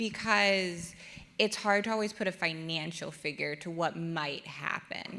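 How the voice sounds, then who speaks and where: Loud and bright with a sharp tone, a woman speaks at a fairly low pitch with ordinary pitch variation. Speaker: audience member asking question. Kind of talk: audience question.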